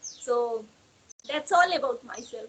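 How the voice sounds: Her voice has a slightly husky edge and a fairly bright tone. The woman speaks at a moderate pace with ordinary pitch variation.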